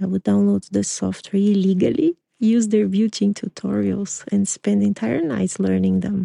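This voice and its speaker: A woman's voice in a Portuguese accent, at a moderate pace with hardly any pauses and very even loudness, dry and close with no echo. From Brazil, São Paulo. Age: 40s. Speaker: podcast host, artist. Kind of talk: personal storytelling monologue.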